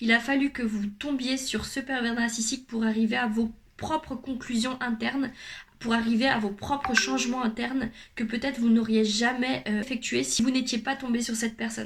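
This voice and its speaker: Over noticeable background noise, a woman speaks at a moderate pace in a fairly high voice with flat, monotone intonation. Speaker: youtuber, personal development coach. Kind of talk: vlog monologue.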